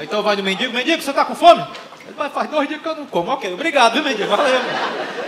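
Loud background noise surrounds a man speaking at a very fast pace. His tone is animated and playful, with lively intonation. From Brazil. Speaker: stand-up comedian. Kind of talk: stand-up comedy. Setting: stage with audience. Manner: animated, playful, acting out dialogues; joke-driven, conversational, with punchlines. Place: stage. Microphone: handheld.

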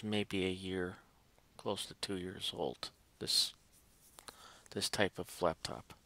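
Soft-spoken and fairly low in pitch, a man has a bright, sharp tone in a dry sound with no echo. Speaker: tech YouTuber. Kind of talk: casual tutorial vlog. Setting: at home at night. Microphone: headset.

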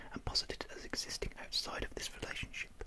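The speaker is a woman, and she talks fairly quickly. Her words come out as a whisper. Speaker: ASMR reader. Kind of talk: ASMR whispered reading of philosophy text. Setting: close microphone with windshield, studio. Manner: whispered, soft. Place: home room. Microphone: studio mic.

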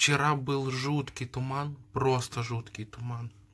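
A man speaks in a somewhat breathy voice. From St. Petersburg, Russia. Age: 20s. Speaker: vlogger. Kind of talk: casual vlog talk to camera. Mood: delighted, admiring the view. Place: home room. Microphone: phone near.

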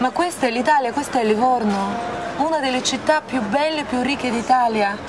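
Over noticeable background noise, a woman speaks at a high pitch. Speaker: interviewer, director. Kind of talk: interview questions and appeal to camera. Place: cafe.

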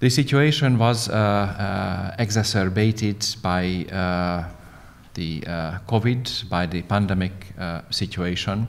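A man with a Hungarian accent speaks at a very slow pace. His voice is fairly low, with ordinary pitch variation. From Hungary. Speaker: diplomat; panelist. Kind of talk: panel presentation. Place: meeting room. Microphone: studio mic.

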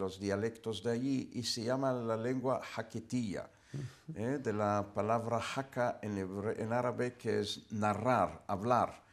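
Very slow male speech with fairly even intonation. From Israel. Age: 70s. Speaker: university professor. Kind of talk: interview. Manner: formal. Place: studio.

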